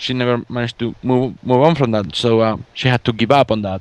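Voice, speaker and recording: With a Spanish accent, a man talks at a fairly quick pace and a medium pitch, in a dry, close sound with no echo. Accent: Spanish accent, rolled R's. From Spain. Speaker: fan artist and podcast guest. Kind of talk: casual chat interview. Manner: halting, many fillers and repeats.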